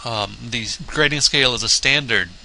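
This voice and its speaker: A man with vocal fry and a bright, sharp tone talks at a moderate pace. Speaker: college theater instructor. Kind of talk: recorded course orientation lecture.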